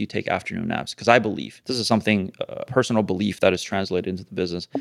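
A man speaks at a very fast pace with hardly any pauses. His fairly low voice keeps a fairly even intonation. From Canada. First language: Mandarin Chinese. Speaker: business owner. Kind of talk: casual chat.

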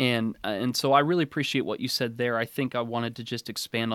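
Speaking with an American accent in an unremarkable speaking voice, a man keeps a medium pitch and fairly even intonation at a fairly quick pace. The sound is dry and close with no echo, a very clean recording over a silent background. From Oregon, US Northwest. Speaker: preacher and podcast host. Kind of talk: interview conversation.

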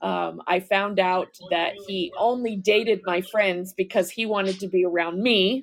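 With an ordinary speaking voice, a woman at medium pitch talks at a fairly slow pace with fairly even intonation and hardly any pauses. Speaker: caller, fellow podcaster, veteran. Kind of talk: casual live chat.

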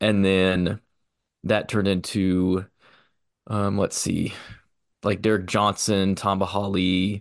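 With a Midwestern US accent, a man talks at a very slow pace and fairly low pitch, his intonation monotone and flat, with long, frequent pauses. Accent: US Midwest. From Missouri, Kansas City area. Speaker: sports museum graduate student. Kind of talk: casual chat.

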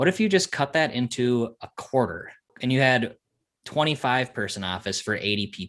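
Recorded very cleanly against a silent background, a man speaks in a normal speaking voice at a medium pitch and a moderate pace. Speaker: podcast host. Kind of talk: casual chat.

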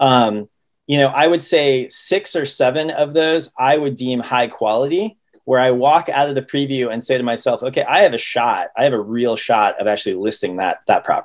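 A man with an American accent uses a plain, everyday voice, fairly high in pitch, at a moderate pace with ordinary pitch variation. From Ohio, US Midwest. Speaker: real estate listing agent. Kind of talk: casual interview.

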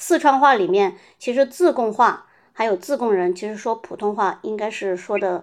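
Moderate pace, ordinary pitch variation, and a quiet background. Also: woman. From Zigong, Sichuan, China (rural village). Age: 30s. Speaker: interviewee sharing their dialect. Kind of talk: interview.

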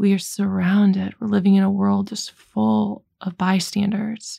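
Her voice is somewhat breathy, dark and mellow, at a medium pitch. The woman talks at a very slow pace. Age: 40s. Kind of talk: faith talk podcast monologue.

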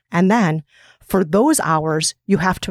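In a very clean recording with a silent background, a woman with an Upper Midwest accent talks at a fairly low pitch, the sound dry and close with no echo. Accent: upper Midwest American. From US upper Midwest. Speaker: podcast host and author. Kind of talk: interview.

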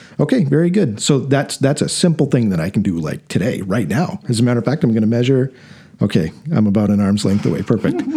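A man at a very fast pace, medium pitch, with very wide pitch swings. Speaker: podcast host. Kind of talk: casual interview chat. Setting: studio. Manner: conversational, informal.

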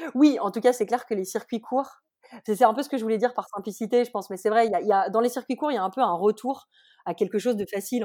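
The recording is very clean against a silent background. A woman talks fairly quickly, her pitch moving in an ordinary way. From France, Haute-Savoie. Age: 30s. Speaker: food logistics entrepreneur. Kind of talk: interview. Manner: hesitant, many fillers.

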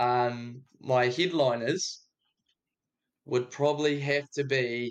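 A man with a New Zealand accent speaks at a very slow pace. His voice is fairly high, with fairly even intonation. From New Zealand, Dunedin. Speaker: music producer. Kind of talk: casual chat.

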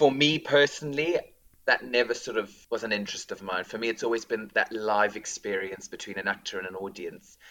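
Here a man speaks at a fairly quick pace. He has a South African accent. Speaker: school drama teacher. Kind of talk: casual interview.

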